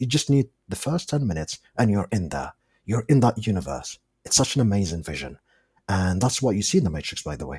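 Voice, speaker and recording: Fairly low-pitched and full of vocal fry, a man talks at a fairly quick pace with very wide pitch swings. The sound is dry and close, with no echo. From Algeria. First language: not English; English is his fourth language. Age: 30s. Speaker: movie fan guest. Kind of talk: casual chat. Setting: international call. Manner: animated.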